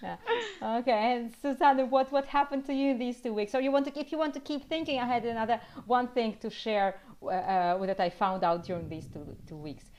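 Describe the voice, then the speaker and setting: Fairly quick speech with lively intonation and big swings in loudness against a quiet background. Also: woman, high pitch for a woman. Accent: Russian. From Russia. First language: Russian. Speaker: language teacher. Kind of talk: casual chat.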